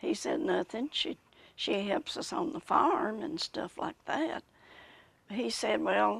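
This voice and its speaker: With an American accent, a woman talks at a very slow pace over noticeable background noise. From Macon County, Tennessee. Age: 80s+. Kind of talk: interview answer.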